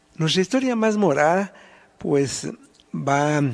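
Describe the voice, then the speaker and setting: Using lively intonation, a man talks in a fairly high pitch. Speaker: historian. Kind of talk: casual chat.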